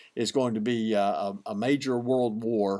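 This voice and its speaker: In a very clean recording with a silent background, a man with an Alabama accent speaks at a moderate pace in a monotone, flat intonation. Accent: Southern US (Alabama). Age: 60s. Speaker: pastor. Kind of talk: devotional teaching. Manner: hesitant, frequent fillers and repeats.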